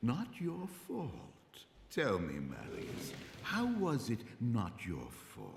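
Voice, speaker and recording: A man uses a put-on character voice at medium pitch, speaking very slowly. He leaves long, frequent pauses, and there is a slight echo. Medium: short film. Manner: measured, authoritative.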